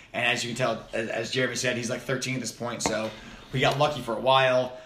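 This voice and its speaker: Against noticeable background noise, a man with an American accent rattles along at a very fast pace, his medium pitch held in a monotone, flat intonation. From US East Coast. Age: 20s. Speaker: podcast host. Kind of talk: casual chat. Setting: home office.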